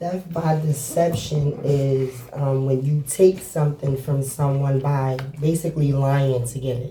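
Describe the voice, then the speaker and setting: A woman with a very deep, low pitch speaks in a New York accent at a fairly slow pace, with hardly any pauses. Her intonation stays fairly even over noticeable background noise. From Brooklyn, New York (Flatbush). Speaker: formerly incarcerated guest. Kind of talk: interview.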